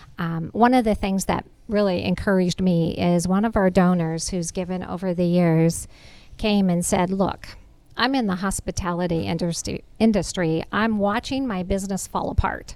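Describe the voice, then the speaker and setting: Recorded very cleanly against a silent background, a woman speaks at a moderate pace in a plain, everyday voice of medium pitch. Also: fairly even intonation. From Nebraska, US Midwest. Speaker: charity executive director. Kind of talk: interview on a facility tour. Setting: on location at a community center.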